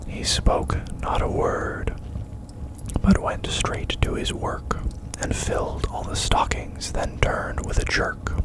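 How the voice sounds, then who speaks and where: A man whispers at a very slow pace against noticeable background noise. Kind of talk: ASMR poetry reading. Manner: whispered, soft-spoken.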